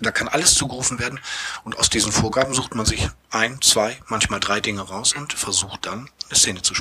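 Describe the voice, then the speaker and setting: With an ordinary speaking voice, a man talks at a fairly quick pace and a medium pitch, showing ordinary pitch variation. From Bremerhaven, northern Germany. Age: 40s. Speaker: theatre manager and improv actor. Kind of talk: casual interview. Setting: theatre venue.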